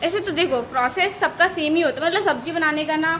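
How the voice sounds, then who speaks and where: The tone is animated, with a moderate pace and ordinary pitch variation. Noticeable background noise runs behind the voice. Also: woman. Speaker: vlogger. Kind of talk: casual vlog chat.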